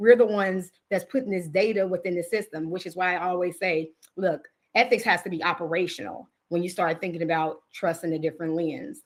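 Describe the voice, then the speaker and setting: With an American accent, the speaker talks at a fairly quick pace in an animated tone, using ordinary pitch variation. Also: woman, fairly low pitch for a woman. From Chicago, US Midwest. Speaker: technology executive. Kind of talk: webinar presentation. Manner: fast.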